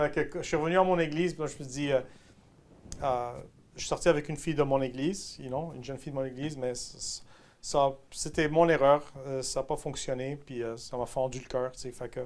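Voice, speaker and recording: A man's fairly high voice at a fairly quick pace, fairly even in intonation but with big swings in loudness and long, frequent pauses. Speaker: pastor. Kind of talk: testimony.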